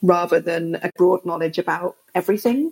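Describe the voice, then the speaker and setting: A woman in a London accent with a fairly low pitch and a fairly slow pace. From England, London. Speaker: film festival director. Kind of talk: casual interview.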